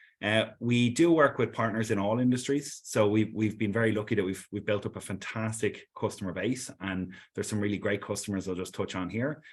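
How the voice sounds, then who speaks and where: A man with an Irish accent talks at a fairly low pitch and a fairly quick pace, with ordinary pitch variation and hardly any pauses. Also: quiet background. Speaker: sales executive. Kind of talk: webinar presentation. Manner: hesitant, repeats words.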